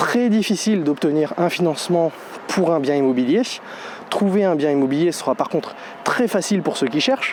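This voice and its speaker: A man talks in a high pitch with lively intonation while noticeable background noise plays. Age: 30s. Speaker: real estate investor vlogger. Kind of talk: casual vlog monologue. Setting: outdoors.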